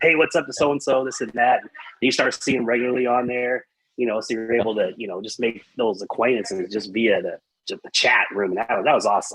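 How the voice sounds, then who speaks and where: Talking at a very fast pace with big swings in loudness, a man with an American accent keeps to a medium pitch. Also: ordinary pitch variation. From Texas, Amarillo. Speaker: metal podcast guest. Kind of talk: casual chat. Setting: live-streamed podcast.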